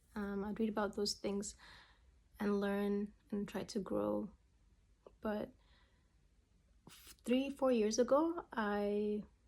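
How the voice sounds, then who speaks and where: The speaker has a non-native accent and a dark, mellow tone, with ordinary pitch variation and big swings in loudness. The pace is very slow, with long, frequent pauses. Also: woman, medium pitch for a woman. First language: not English. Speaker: memoir writer and vlogger. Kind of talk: personal vlog monologue. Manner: casual, halting with fillers and restarts.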